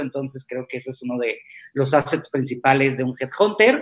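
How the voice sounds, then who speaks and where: A man with a medium pitch at a moderate pace, a plain, everyday voice. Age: 30s. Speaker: executive recruiter. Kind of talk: interview.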